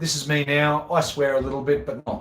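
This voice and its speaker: This man has a fairly high voice. He speaks with an Australian accent. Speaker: golf professional and video host. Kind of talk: live Q&A chat. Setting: at home. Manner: rambling, repetitive.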